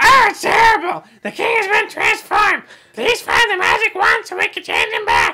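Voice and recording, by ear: A put-on character voice shouts at a moderate pace in an extremely high pitch.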